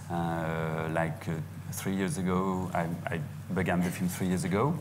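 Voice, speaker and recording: Fairly even intonation at a fairly slow pace, over noticeable background noise. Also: man. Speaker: film director on panel. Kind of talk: panel self-introduction. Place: stage. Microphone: handheld.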